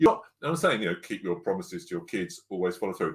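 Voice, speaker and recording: Speaking at a very fast pace with an English accent, this loud voice swings very widely in pitch and has vocal fry. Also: man, very clean recording, silent background. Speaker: parenting coach. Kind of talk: podcast interview.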